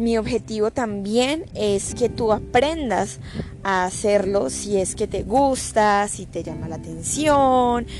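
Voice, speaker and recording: Her intonation is lively as this woman talks at a very slow pace with a medium pitch. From Colombia. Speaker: podcast host on digital business. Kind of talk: casual solo podcast talk. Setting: home recording.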